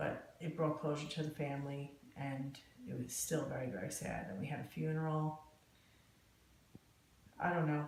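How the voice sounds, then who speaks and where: With an American accent and a very deep, low pitch, a woman speaks at a moderate pace over noticeable background noise. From New Jersey, USA. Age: 50s. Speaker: court reporter. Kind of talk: oral history interview answer.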